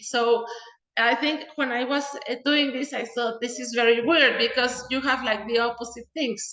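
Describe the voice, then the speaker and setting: Audible room echo surrounds a woman whose raised, projected voice moves at a moderate pace. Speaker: mathematician. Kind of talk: lecture.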